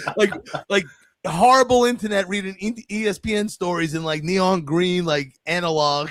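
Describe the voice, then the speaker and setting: A loud, energetic man with a New York accent, high-pitched, at a moderate pace with ordinary pitch variation. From New York City. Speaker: podcast host. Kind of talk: casual chat.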